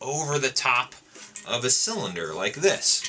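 There is light background noise as a man speaks at a fairly slow pace. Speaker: music teacher demonstrating instruments. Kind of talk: tutorial. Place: home room.

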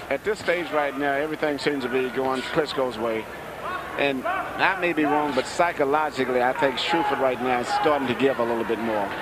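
Talking at a fairly quick pace with ordinary pitch variation, a man with a fairly high voice is heard over noticeable background noise. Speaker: boxing color analyst. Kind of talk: live fight analysis. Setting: ringside at arena. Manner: admiring, technical explanation.

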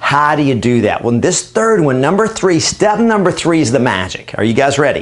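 Upbeat and energetic, a man talks at a moderate pace with very wide pitch swings. He keeps his loudness very even and hardly pauses. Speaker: real estate trainer and coach. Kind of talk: training talk to camera. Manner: upbeat, energetic. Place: studio. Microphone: lapel.

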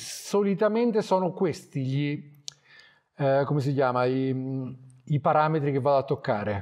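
A man speaks in a fairly high pitch against a quiet background. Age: 40s. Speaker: wildlife photographer; guest. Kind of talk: talk to a club audience. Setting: photo club evening with audience. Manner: casual, halting with fillers. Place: hall.

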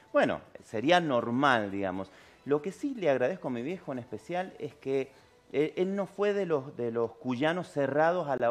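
His pitch swings very widely. The man keeps to a fairly slow pace. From Argentina, San Juan; Argentina. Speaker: tango singer; interviewee. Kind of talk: interview. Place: studio.

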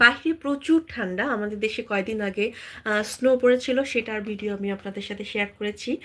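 With a Bangladeshi accent, the speaker shows ordinary pitch variation and big swings in loudness. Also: woman, fairly high pitch for a woman. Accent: Bangladeshi Bengali. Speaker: travel vlogger. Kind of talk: live stream chat with viewers.

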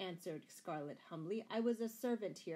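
What you hear is a natural reading voice.

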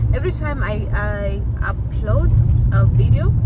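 A woman's voice, dry with no echo, against loud background noise. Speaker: vlogger. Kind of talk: casual vlog chat. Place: car. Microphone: phone near.

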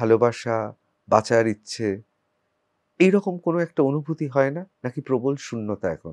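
Showing big swings in loudness, a man with an ordinary speaking voice talks at a medium pitch with lively intonation. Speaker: political talk show host and journalist. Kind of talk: interview.

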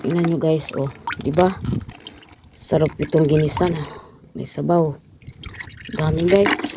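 A woman with a very deep, low pitch speaks at a fairly slow pace with fairly even intonation and long, frequent pauses over noticeable background noise. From Philippines. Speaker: vlogger. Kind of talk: casual vlog narration.

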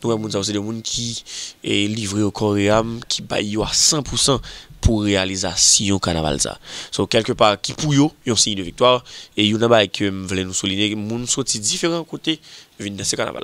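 At a moderate pace, a man with a fairly low pitch and an unremarkable speaking voice speaks with ordinary pitch variation. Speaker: magazine show presenter. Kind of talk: video magazine presentation.

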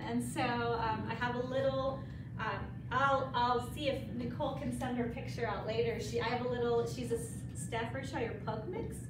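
A woman at a moderate pace, with noticeable background noise and audible room echo. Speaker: presenter. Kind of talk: self-introduction to a meeting group. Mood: friendly, laughs a bit. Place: meeting room. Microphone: camera far.

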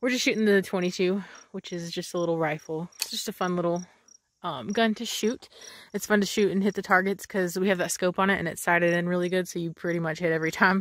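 Speaking very fast with fairly even intonation, a woman is heard in dry sound with no echo. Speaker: vlogger. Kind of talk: casual vlog chat. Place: open country. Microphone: phone near.

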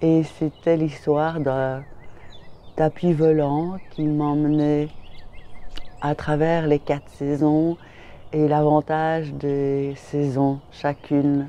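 A woman speaks very slowly, with long, frequent pauses. Her very deep, low voice has a dark, mellow tone and monotone, flat intonation. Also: dry sound with no echo. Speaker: vlogger. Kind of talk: casual talk to camera. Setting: outdoors, in a garden. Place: garden. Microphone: phone near.

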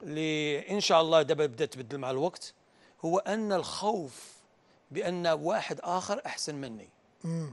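A man with a fairly high-pitched voice speaks at a fairly slow pace with ordinary pitch variation. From Morocco, Kenitra; Morocco. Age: 50s. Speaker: football coach. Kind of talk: tactical analysis interview; interview answer, tactical analysis. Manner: halting, mixes Arabic with English and French. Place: studio. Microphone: lapel.

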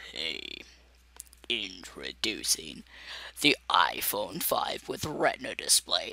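A man puts on a character voice and speaks at a very slow pace, leaving long, frequent pauses. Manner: announcer-like.

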